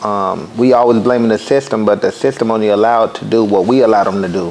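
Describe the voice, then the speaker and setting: Against noticeable background noise, a man speaks very fast with fairly even intonation. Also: medium pitch for a man. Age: 30s. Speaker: podcast host. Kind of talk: casual interview.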